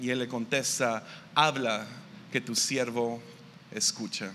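A bright, sharp tone at a very slow pace. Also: man. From Mexico, Tepic, Nayarit. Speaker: pastor. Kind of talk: sermon. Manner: halting.

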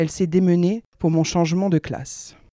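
A dark, mellow tone comes through at a moderate pace in a very clean recording with a silent background and a dry, close sound with no echo. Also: woman. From northern France (Nord-Pas-de-Calais). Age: 30s. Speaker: dietitian's patient sharing her story. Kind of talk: personal testimony, read aloud.

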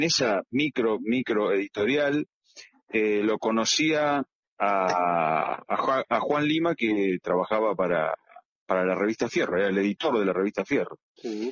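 A man speaks at a medium pitch and a fairly slow pace. His pitch swings very widely while his loudness stays very even. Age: 50s. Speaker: comic book illustrator. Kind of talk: interview. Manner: halting, many repetitions.

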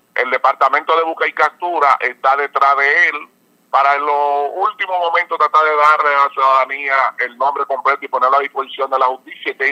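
A man speaks with a bright, sharp tone at a fairly high pitch. The sound is dry and close, with no echo. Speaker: police general. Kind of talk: press briefing by phone.

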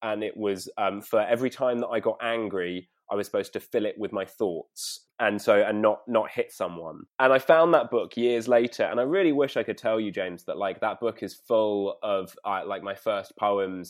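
Hardly pausing at all, a man with a London accent speaks at a moderate pace. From North London. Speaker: poet and performer. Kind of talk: casual chat. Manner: halting.

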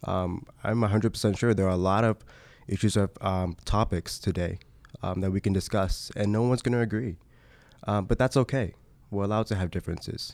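A man with an American accent and an unremarkable speaking voice, fairly low in pitch, with fairly even intonation at a fairly quick pace, in a very clean recording with a silent background. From Pennsylvania and Maryland, US. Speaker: university student, student organization vice president. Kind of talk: interview.

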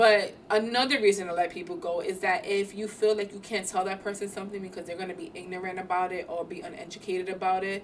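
Over noticeable background noise, the speaker talks very fast with fairly even intonation. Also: woman. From New York (Bronx), Puerto Rican. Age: 30s. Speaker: podcast co-host. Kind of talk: casual chat.

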